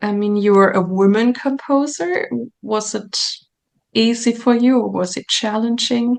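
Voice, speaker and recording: Speaking fairly slowly with a German accent, a woman keeps a fairly high pitch and fairly even intonation. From Germany. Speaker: podcast host and singer. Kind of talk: interview.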